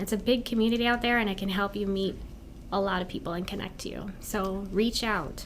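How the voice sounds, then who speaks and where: In an American accent, a woman speaks at a fairly quick pace with a medium pitch, ordinary pitch variation and vocal fry, with audible room echo around her. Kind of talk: interview.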